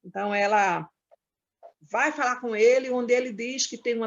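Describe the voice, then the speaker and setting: A woman's high-pitched voice at a moderate pace. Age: 60s. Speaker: domestic workers' union leader. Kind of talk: panel debate talk. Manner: halting, with frequent fillers.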